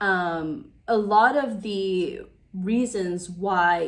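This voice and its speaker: A woman has an ordinary speaking voice at a medium pitch. Her intonation stays fairly even. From United States (Taiwanese-American, born in Taiwan). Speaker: YouTuber / lifestyle vlogger. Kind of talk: casual vlog monologue. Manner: conversational with many fillers.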